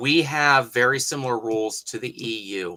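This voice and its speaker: Speaking in an Appalachian accent, a man has medium pitch with ordinary pitch variation. The tone is bright and sharp. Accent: Appalachian twang, mild. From Appalachia, US. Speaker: historical craftsman, hatmaker. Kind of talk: livestream tutorial and chat. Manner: casual, conversational.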